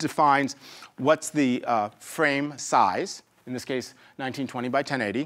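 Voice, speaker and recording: The voice belongs to a man with a fairly high pitch. The background is quiet. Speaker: software tutorial instructor. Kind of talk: tutorial. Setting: screen recording. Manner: fast talker; informal, humorous asides. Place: studio.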